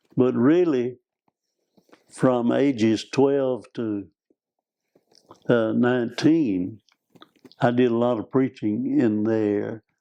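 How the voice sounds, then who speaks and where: With an Arkansas accent, a man speaks at a very slow pace, leaving long, frequent pauses, his medium-pitched voice dark and mellow in tone. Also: ordinary pitch variation. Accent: Southern US (Arkansas). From US South, northeast Arkansas. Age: 80s+. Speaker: preacher and missionary. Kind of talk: interview conversation.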